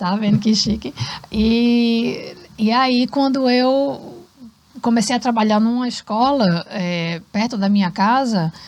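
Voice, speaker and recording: The woman's voice sits fairly high, with ordinary pitch variation. She speaks at a very slow pace. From Brazil, Recife, Pernambuco. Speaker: cultural centre founder and former English teacher. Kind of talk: podcast interview. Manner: animated.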